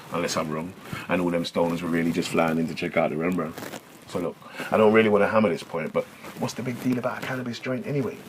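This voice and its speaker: Speaking at a very fast pace, a man with a very deep, low pitch uses ordinary pitch variation over noticeable background noise. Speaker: spoken word poet. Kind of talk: spoken word poetry. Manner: rhythmic.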